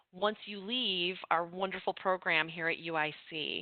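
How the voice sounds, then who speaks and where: A woman's voice at a fairly slow pace. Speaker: university instructor. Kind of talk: online information session presentation. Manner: lively, with many filler words.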